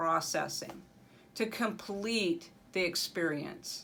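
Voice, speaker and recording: Here a woman is talking. Her pitch is medium. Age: 60s. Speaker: mental health vlogger. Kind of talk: personal testimony.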